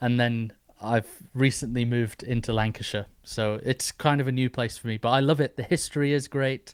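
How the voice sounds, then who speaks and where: In an English accent, a man talks at a medium pitch and moderate pace with fairly even intonation. The recording is very clean and dry, close with no echo and a silent background. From northeast England. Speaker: podcast host. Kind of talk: interview.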